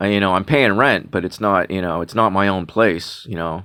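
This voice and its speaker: A moderate pace in a very clean recording with a silent background. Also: man. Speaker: vlogger. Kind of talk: casual monologue. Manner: halting, many fillers and repeats; sounds sarcastic.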